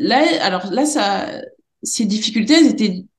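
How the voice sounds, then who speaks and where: There is audible room echo around a somewhat breathy woman's voice. Her pitch is fairly high and her intonation lively. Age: 40s. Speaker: special education teacher. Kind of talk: interview. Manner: halting.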